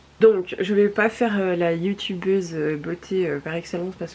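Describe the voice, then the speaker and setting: Over noticeable background noise, a woman speaks at a fairly slow pace in a medium-pitched voice with monotone, flat intonation. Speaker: vlogger. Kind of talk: casual vlog.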